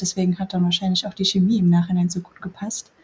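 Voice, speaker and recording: A woman is talking, and noticeable background noise can be heard. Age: 30s. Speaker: former coaching client, nurse. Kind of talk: casual interview.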